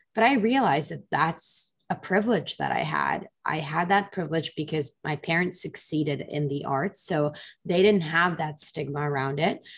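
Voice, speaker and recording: Over a quiet background, a woman with a very deep, low pitch and a somewhat breathy voice talks at a moderate pace with ordinary pitch variation and hardly any pauses. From Israel. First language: Russian. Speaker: product manager. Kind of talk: interview.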